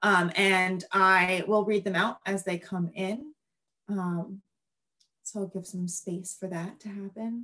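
Over a quiet background, a woman at a medium pitch speaks very slowly with fairly even intonation. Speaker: nature educator and panel moderator; nature educator, panel moderator. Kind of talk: panel moderation. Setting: video call. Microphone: video call.

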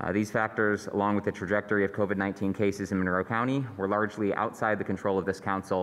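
Speaking very fast, a man keeps a fairly low pitch, monotone, flat intonation and very even loudness. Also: hardly any pauses. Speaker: city council member. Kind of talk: public meeting. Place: hall. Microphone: podium.

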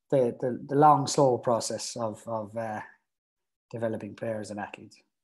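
Over a quiet background, a man keeps a moderate pace and fairly even intonation. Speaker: youth academy strength and conditioning coach. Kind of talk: interview. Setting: video call. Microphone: earbuds.

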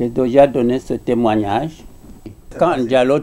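Light noise sits in the background. Over it, a man talks. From outside Guinea. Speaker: professor and former political prisoner; witness. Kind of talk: interview testimony. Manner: halting. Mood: grave recollection. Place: home room.

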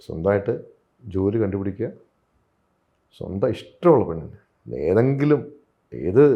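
A man speaks at a fairly low pitch. His voice swings very widely in pitch. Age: 40s. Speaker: film actor. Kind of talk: interview.

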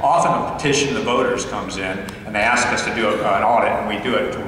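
A man at a fairly quick pace, with strong room echo and light background noise. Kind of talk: speech. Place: hall. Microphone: podium.

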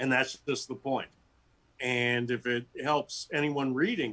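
A man talks fairly slowly in an American accent. His tone is bright and sharp. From US West Coast. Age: 60s. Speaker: author and teacher; teacher. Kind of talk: interview. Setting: video call. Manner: animated. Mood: warm, reflective. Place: home room. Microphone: video call.

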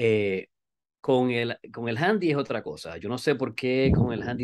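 A man with a Puerto Rican accent talks at a moderate pace against a quiet background. His pitch is medium, with ordinary variation. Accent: Puerto Rican Spanish, dropped R's. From Puerto Rico. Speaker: skydiver and amateur radio operator; amateur radio operator. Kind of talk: interview. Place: home room. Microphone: video call.

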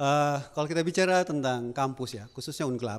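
Noticeable background noise sits behind a man with a fairly high voice. He talks at a moderate pace in an animated tone. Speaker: alumnus doing stand-up comedy. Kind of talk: stand-up comedy. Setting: stage with audience. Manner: animated, jokey, chatty, with audience interaction and laughs. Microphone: handheld.

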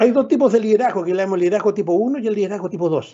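Over a quiet background, a man talks at a very fast pace in a high pitch with lively intonation. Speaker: professor. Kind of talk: lecture. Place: home room. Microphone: video call.

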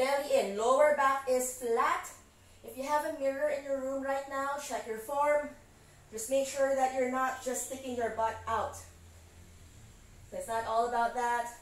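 Pitched high, a woman talks at a fairly slow pace with fairly even intonation, and room echo is audible. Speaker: fitness instructor. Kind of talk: live workout coaching cues, counting through interval reps. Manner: brisk, encouraging commands with short clipped instructions; calm, reassuring reminders to slow down and modify. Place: home room.

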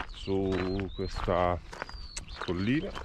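Over noticeable background noise, a man speaks at a very slow pace, the sound dry with no echo. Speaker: hiker vlogger. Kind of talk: casual vlog chat. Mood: enthusiastic. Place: open country. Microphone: phone near.

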